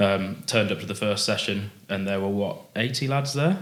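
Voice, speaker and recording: Spoken at a moderate pace with a Yorkshire accent, the intonation stays fairly even. Audible room echo surrounds the voice. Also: man. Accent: sounds like from Bradford. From England, Warwick/Leamington area. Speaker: amateur rugby player. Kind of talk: casual podcast chat. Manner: hesitant, many fillers.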